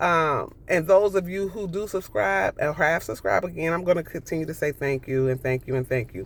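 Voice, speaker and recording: On a very clean recording with a silent background, a woman speaks at a fairly low pitch in an animated tone, with lively intonation and vocal fry. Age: 60s. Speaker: vlogger. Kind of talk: casual chat.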